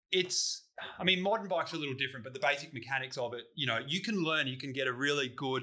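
A man's voice with ordinary pitch variation over a quiet background. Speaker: podcast host. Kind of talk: casual podcast chat. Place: garage.

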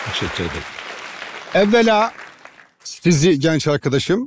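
The speech moves at a moderate pace, sounding dry with no echo, with crowd noise in the background. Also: man. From Trabzon, Turkey; Turkey. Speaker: mayoral candidate; candidate. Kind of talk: public Q&A with audience. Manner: formal. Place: stage. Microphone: headset.

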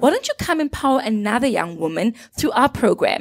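Against a quiet background, a woman talks at a high pitch. Her voice moves in very wide pitch swings. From South Africa, Gauteng. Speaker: social entrepreneur; guest. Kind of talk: casual chat. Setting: studio. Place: studio. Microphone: handheld.

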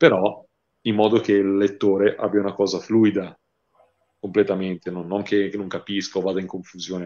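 Over a quiet background, a man with a dark, mellow tone and fairly low pitch talks at a fairly quick pace in a monotone, flat way, leaving long, frequent pauses. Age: 30s. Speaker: horror novelist; interviewee. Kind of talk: interview. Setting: livestream. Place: home room. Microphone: earbuds.

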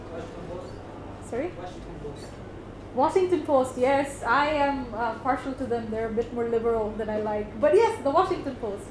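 Delivered at a moderate pace, the speech has lively intonation and big swings in loudness, with noticeable background noise behind it. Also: woman, high pitch for a woman. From Bangladesh. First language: Bengali. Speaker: workshop facilitator. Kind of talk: workshop talk. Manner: casual, mixes Bengali and English. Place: meeting room. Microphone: camera far.

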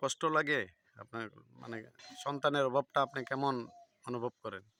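An unremarkable speaking voice from a man, fairly high in pitch, in a dry, close sound with no echo. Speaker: village video blogger interviewing locals. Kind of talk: casual interview.

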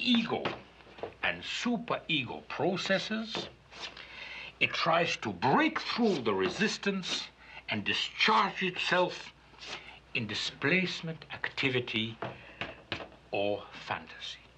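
The speaker talks at a very slow pace in a pompous tone, with long, frequent pauses and noticeable background noise. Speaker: psychologist character narrating. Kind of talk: pseudo-clinical film narration, 1970s style, a doctor lecturing the audience. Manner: formal, measured, authoritative and pompous, with a dry, tongue-in-cheek clinical tone.

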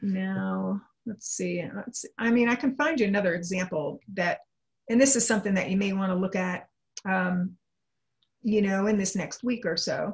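The woman's voice is somewhat breathy. She speaks at a moderate pace over a quiet background. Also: ordinary pitch variation. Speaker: trading analyst. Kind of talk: interview. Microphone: video call.

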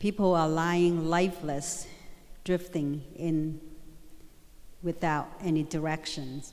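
A woman speaks at a very slow pace with monotone, flat intonation. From Vietnam. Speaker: guest speaker sharing her story. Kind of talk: motivational speech to school assembly. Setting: school assembly stage with audience. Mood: earnest, storytelling. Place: hall. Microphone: handheld.

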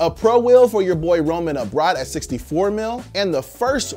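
Faint music plays in the background as a man speaks at a moderate pace. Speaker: news show host. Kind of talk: commentary. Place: studio.

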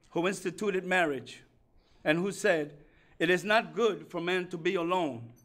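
A man talks at a high pitch with ordinary pitch variation. His pace is moderate. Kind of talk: sermon. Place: hall.

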